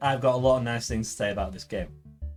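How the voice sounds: The clip carries a natural reading voice. Nothing else is described.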